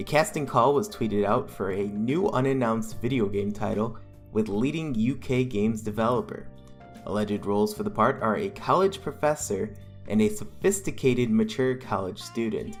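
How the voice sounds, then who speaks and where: In the background, music can be heard. The male speaker keeps a moderate pace. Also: medium pitch for a man, ordinary pitch variation. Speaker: video game news host. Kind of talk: gaming news commentary. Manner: nervous-sounding.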